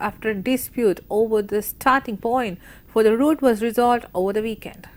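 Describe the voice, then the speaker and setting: A woman's high-pitched voice, fairly quick in pace, with fairly even intonation. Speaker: television news anchor. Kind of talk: TV news anchor read. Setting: studio.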